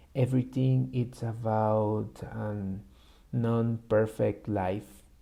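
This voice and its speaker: Speaking with a Spanish accent, a man has a dark, mellow tone. He goes at a very slow pace with ordinary pitch variation. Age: 20s. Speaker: YouTuber practicing English. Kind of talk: personal vlog monologue. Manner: halting, with many fillers.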